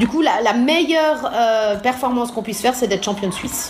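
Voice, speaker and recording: Lively intonation comes at a fairly quick pace amid noticeable background noise and audible room echo. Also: woman. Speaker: synchronized swimming coach. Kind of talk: interview.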